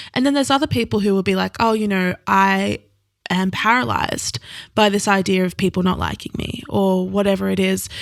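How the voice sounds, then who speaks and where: A woman talks at a fairly quick pace. The recording is very clean and the background silent. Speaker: podcast host and author, guest. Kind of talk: casual chat.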